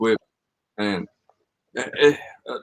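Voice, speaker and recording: This man has a Southern US accent and a medium pitch. His pitch variation is ordinary. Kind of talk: casual podcast conversation.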